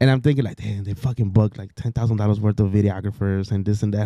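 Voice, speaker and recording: A man talks at a very fast pace with hardly any pauses, his fairly low voice dark and mellow on a very clean recording with a silent background. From Mexico. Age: 30s. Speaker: entrepreneur and former wedding DJ. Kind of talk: casual podcast chat. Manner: animated storytelling; halting, frequent repetitions.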